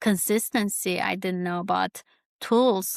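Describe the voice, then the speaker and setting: A woman with a Kurdish accent speaks at a fairly slow pace. The recording is very clean with a silent background and a dry, close sound with no echo. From Turkey, Kurdish farming family. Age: 30s. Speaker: YouTuber, podcast host. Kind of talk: personal reflective monologue. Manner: halting, many fillers.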